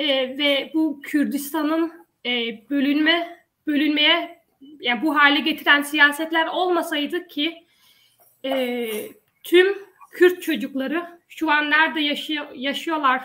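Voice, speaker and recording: A woman's high, bright, sharp voice, raised and projected, at a very slow pace with long, frequent pauses. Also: fairly even intonation. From Denmark, Odense. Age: 20s. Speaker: local election candidate. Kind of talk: panel discussion.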